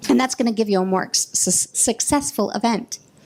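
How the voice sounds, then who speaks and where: Music plays in the background as a woman speaks at a fairly quick pace. Her pitch is fairly high, with ordinary variation. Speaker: workshop presenter. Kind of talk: workshop presentation. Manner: fast; animated.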